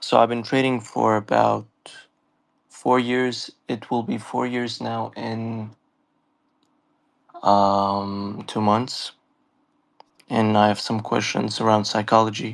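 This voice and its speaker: A man with a fairly low pitch speaks very slowly in a monotone, flat intonation, leaving long, frequent pauses. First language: not English. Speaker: trader caller. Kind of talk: live audio Q&A. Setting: online audio space.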